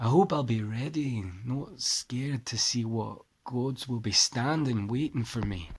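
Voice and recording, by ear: Reading aloud naturally, with ordinary rises and falls in pitch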